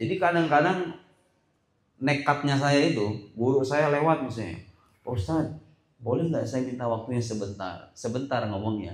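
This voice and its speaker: Audible room echo surrounds a somewhat breathy man whose fairly high pitch carries lively intonation at a moderate pace. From Indonesia, Sukabumi (West Java), moved to Tangerang. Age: young. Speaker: Islamic preacher. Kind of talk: school talk show. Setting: school hall with student audience. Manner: casual, conversational.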